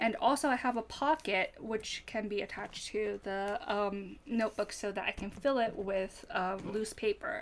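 Hardly pausing, a woman talks at a moderate pace in a fairly high voice with lively intonation. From Japan, Fukuoka. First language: Japanese. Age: 30s. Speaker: stationery user, non-collector. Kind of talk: casual chat.

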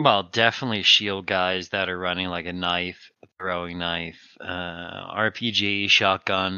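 A man with a very deep, low pitch speaks at a fairly slow pace with fairly even intonation and hardly any pauses. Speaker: gamer guest. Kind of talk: casual chat.

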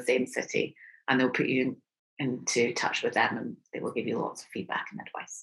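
A woman talks fairly quickly, and her pitch shifts in an ordinary way. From Scotland, Aberdeen. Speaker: expat parent. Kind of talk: interview.

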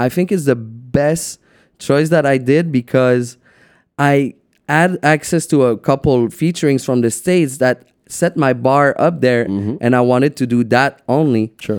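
A man with a French accent speaks at a fairly slow pace, with medium pitch, ordinary pitch variation and very even loudness. The recording is very clean and dry, close, with no echo and a silent background. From Quebec City. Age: 20s. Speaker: DJ and producer. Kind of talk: casual chat. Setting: studio.

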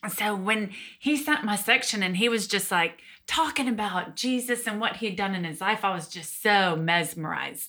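Speaking with a Southern US accent, a woman uses a medium pitch with ordinary variation and a bright, sharp tone at a moderate pace, recorded very cleanly against a silent background. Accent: Southern US (Georgia). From Georgia, US South. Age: 30s. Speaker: guest sharing personal testimony. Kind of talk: testimony.

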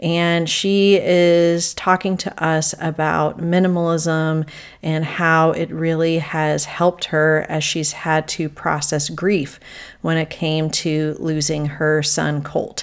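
A woman's fairly low voice, fairly slow, on a very clean recording with a silent background. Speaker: podcast host, decluttering coach. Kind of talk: solo podcast talk. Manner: animated.

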